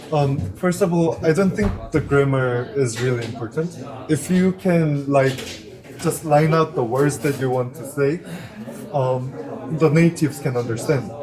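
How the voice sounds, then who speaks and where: Noticeable background noise sits behind a man with a Korean accent and a fairly high pitch. He speaks at a fairly slow pace with ordinary pitch variation. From South Korea. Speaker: interview guest, English learner. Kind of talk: casual interview chat. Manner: hesitant, with fillers.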